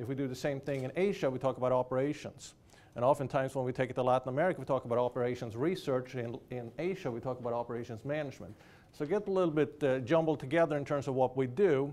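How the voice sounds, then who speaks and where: A very fast man's voice with a Swedish accent, medium in pitch, dark and mellow in tone, with ordinary pitch variation. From Sweden. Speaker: business professor. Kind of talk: keynote lecture. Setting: lecture hall with audience.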